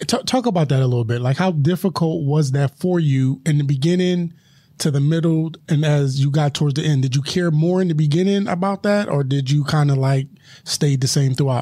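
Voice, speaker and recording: A man with an American accent talks at a fairly quick pace, his voice fairly high in pitch yet dark and mellow in tone. He sounds somewhat breathy, with ordinary pitch variation and very even loudness. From Philadelphia. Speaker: podcast host. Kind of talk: casual interview chat.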